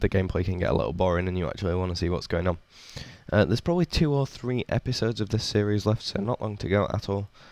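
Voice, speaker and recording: The pace is very fast on a very clean recording with a silent background. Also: man. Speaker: gaming YouTuber. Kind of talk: gameplay commentary. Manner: casual, some stammering.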